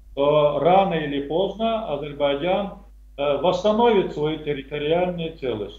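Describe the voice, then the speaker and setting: A man speaks at a moderate pace with very wide pitch swings, and audible room echo fills the space. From Azerbaijan. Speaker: retired army colonel, military analyst; military analyst. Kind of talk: interview. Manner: hesitant, many filler sounds. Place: home room. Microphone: video call.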